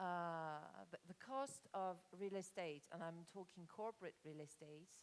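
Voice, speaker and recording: A fairly slow delivery with a slight French accent and ordinary pitch variation. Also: woman, fairly low pitch for a woman. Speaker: conference speaker on corporate real estate. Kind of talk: conference presentation. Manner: halting, many fillers.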